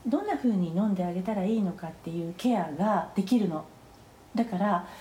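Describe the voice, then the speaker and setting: A woman at a fairly quick pace, ordinary pitch variation, and noticeable background noise. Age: 50s. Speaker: phytotherapist. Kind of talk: interview. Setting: remote recording.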